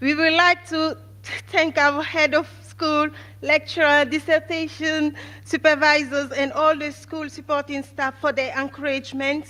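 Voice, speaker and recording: Raising and projecting her high-pitched voice, a woman speaks at a fairly slow pace in a bright, sharp tone with monotone, flat intonation. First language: not English. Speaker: valedictorian nursing graduate. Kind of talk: graduation speech. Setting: stage with audience. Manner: formal.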